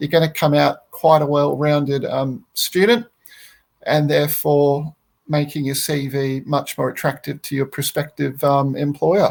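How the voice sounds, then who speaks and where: With an Australian accent, a man speaks at a fairly high pitch and a fairly slow pace. His intonation stays fairly even. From Australia, Brisbane. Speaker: landscape architect. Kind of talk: interview. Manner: hesitant, many fillers.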